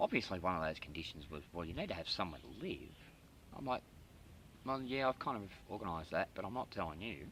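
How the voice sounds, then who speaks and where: Very fast speech in an Australian accent has a bright, sharp tone, very wide pitch swings, and long, frequent pauses. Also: man, very deep, low pitch for a man. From Australia, Sydney. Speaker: YouTuber. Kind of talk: casual vlog update. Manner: hesitant, many fillers.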